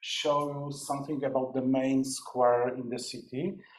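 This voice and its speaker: Someone with a Polish accent speaks at a moderate pace with fairly even intonation, against noticeable background noise. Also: man. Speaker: academic researcher. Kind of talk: conference presentation. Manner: halting.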